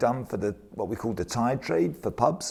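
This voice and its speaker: Lively intonation colors an unremarkable speaking voice at a moderate pace. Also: man. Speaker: brewing industry worker, bottling. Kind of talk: oral history interview answer.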